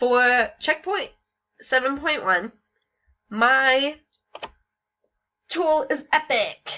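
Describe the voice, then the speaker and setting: A woman's raised, projected, high-pitched voice, bright and sharp, with lively intonation, a very slow pace and long, frequent pauses. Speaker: student teacher. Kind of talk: class presentation. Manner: hesitant, many fillers.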